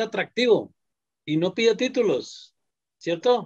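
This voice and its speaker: A man's voice with ordinary pitch variation. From Colombia. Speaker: quality assurance executive. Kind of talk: panel discussion.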